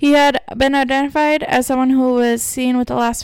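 A woman with an American accent speaks in a high pitch at a moderate pace. The recording is very clean, with a silent background. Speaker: podcast host. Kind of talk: true-crime narration, reading a case account aloud. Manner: even, measured storytelling with stumbles and a laugh now and then.

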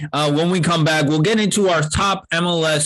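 Lively in intonation and moderate in pace, a man talks in an unremarkable speaking voice. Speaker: podcast host. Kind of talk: casual sports chat.

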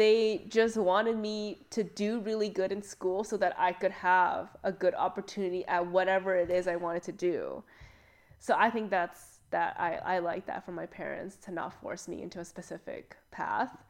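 A woman with a normal speaking voice and a Canadian accent talks at a moderate pace with a medium pitch and fairly even intonation. Her loudness swings widely against a quiet background. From Canada, child of Chinese immigrants. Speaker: podcast co-host. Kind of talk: casual chat.

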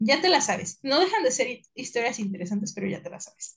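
A woman speaks in a somewhat breathy voice. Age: 20s. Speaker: podcast co-host. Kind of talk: casual chat.

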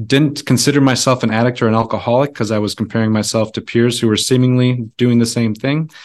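A man with an American accent at medium pitch, talking at a very fast pace with hardly any pauses and monotone, flat intonation. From rural Wisconsin. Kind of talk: casual interview.

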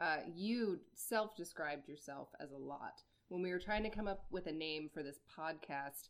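A woman with an American accent has an unremarkable speaking voice, fairly low-pitched, with ordinary pitch variation and a moderate pace. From Iowa. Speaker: podcast co-host. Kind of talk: casual chat.

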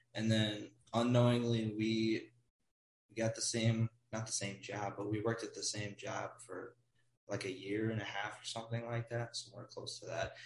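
A man with a strong Midwestern US accent talks at a moderate pace and a medium pitch. His intonation is flat and monotone, and his voice is somewhat breathy. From Wisconsin, US Midwest. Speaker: guest, college student abroad. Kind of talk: casual chat.

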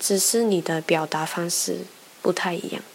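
Her fairly low pitch and fairly even intonation mark this woman's speech. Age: 20s. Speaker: podcast host. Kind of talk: personal monologue. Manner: halting, many fillers.

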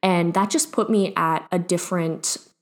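A woman with a plain, everyday voice, pitched fairly low and with ordinary variation. She speaks at a fairly slow pace. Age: 20s. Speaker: podcast host. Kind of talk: casual monologue. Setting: home office.

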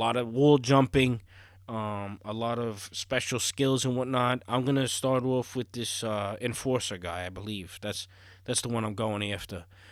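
A man's medium-pitched voice at a moderate pace, with fairly even intonation, on a very clean recording with a silent background. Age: 30s. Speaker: podcast host and gaming streamer. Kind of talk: casual solo monologue.

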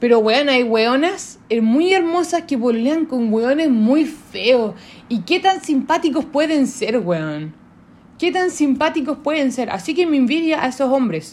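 With a Chilean accent, a woman speaks at a fairly slow pace. Her pitch is high and her intonation lively. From southern Chile. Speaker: podcast host. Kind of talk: casual monologue. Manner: informal, unscripted.

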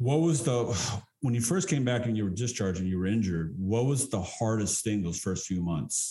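A man with an American accent speaks at a moderate pace, somewhat breathy, with a dark, mellow tone. His intonation is lively, his loudness very even, and he hardly pauses. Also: medium pitch for a man. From Texas. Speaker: podcast host and actor. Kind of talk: interview.

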